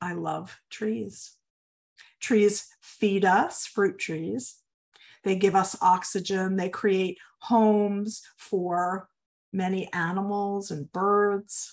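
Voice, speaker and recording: Against a quiet background, a woman speaks very slowly with fairly even intonation. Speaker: yoga teacher. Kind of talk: guided meditation class talk. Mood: warm, heartfelt. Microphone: webcam.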